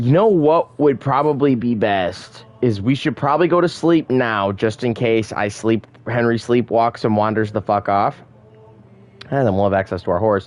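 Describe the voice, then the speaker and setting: An American-accented man speaks in an ordinary speaking voice at a medium pitch. He keeps a moderate pace with ordinary pitch variation. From Michigan. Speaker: gaming streamer. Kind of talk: live gameplay commentary. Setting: live stream.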